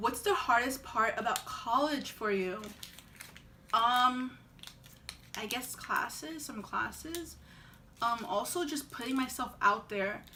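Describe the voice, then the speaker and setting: With an American accent, a woman speaks at a high pitch and a very slow pace, leaving long, frequent pauses, her pitch varying in an ordinary way amid audible room echo. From Long Island, New York. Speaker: vlogger, college student. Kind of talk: casual Q&A vlog. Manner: hesitant, many fillers.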